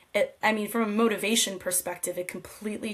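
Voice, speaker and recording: A woman's fairly quick, monotone delivery with flat intonation, against noticeable background noise. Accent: American. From US, New Jersey. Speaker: podcast guest, corporate professional. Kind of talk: interview conversation. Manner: halting, many fillers.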